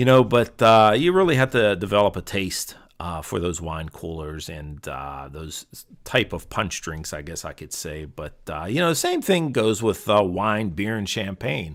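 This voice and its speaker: The voice makes big swings in loudness. The recording is very clean, with a silent background. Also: man, fairly low pitch for a man, lively intonation, moderate pace, hardly any pauses. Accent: Pittsburgh. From Pittsburgh, Western Pennsylvania. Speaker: podcast host. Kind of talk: casual monologue. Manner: halting, many fillers.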